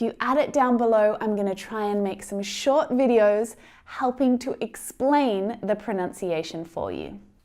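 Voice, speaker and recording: The speaker talks at a fairly slow pace with an Australian accent and hardly any pauses. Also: woman, fairly high pitch for a woman, ordinary pitch variation. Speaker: English pronunciation teacher. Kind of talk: tutorial.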